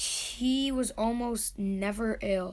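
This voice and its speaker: A woman speaks with fairly even intonation, and some room echo can be heard. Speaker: family narrator. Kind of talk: narration.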